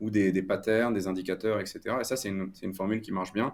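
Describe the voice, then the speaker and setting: This man's voice sits fairly low in pitch, captured on a very clean recording against a silent background. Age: 20s. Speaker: crypto media founder. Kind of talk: interview. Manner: halting, many repetitions.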